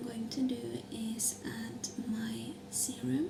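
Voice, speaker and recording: A soft-spoken woman talks over noticeable background noise. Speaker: ASMR creator. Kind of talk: ASMR skincare routine chat.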